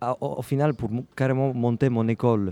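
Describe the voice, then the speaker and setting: At a fairly slow pace, a man with an Italian accent speaks in a dark, mellow tone. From Ragusa, Sicily. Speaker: percussionist and music school founder, interview guest. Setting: radio interview at a jazz club.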